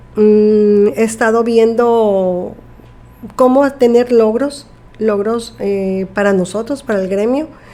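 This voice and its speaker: Noticeable background noise surrounds a woman speaking at a very slow pace. Her fairly high pitch follows a fairly even intonation. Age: 50s. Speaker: nurse. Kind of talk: interview.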